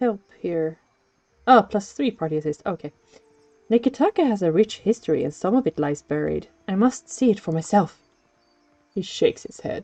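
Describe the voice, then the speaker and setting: A woman speaks at a moderate pace with a slight non-native accent and very wide pitch swings. The sound is dry and close with no echo, and music plays in the background. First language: not English. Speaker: streamer. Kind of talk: gameplay stream, reading game text aloud.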